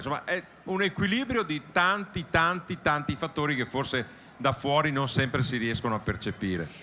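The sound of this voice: A man's voice comes across with a bright, sharp tone.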